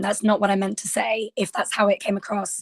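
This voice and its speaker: A woman with a British accent talks at a moderate pace in a fairly high pitch. The sound is dry and close, with no echo. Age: 20s. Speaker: podcast panel guest. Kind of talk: panel discussion.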